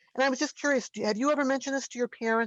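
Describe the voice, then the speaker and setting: Words come at a very fast pace with ordinary pitch variation, in a dry, close sound with no echo. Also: woman. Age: 70s. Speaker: audience member asking questions. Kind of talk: Q&A question. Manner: halting.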